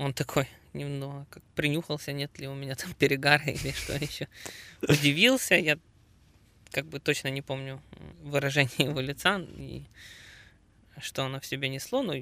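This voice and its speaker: A man with a bright, sharp tone and fairly high pitch talks in a monotone, flat intonation, his loudness swinging widely and his speech marked by long, frequent pauses. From Ukraine. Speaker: amateur marathon runner and triathlete. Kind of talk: casual interview. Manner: halting, many filler sounds.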